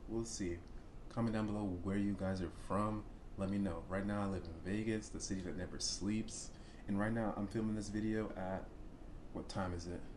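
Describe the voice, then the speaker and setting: Long, frequent pauses from a man at a moderate pace, with noticeable background noise. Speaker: reaction video host. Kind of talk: casual reaction commentary. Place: home room.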